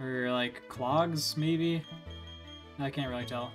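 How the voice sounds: Pitch varies in an ordinary way as a natural voice reads aloud.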